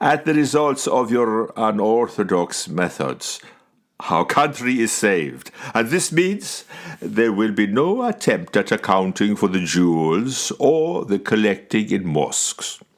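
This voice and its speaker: A booming, put-on character voice from a man, medium in pitch with very wide pitch swings, at a fairly slow pace. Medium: read story. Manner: commanding, booming.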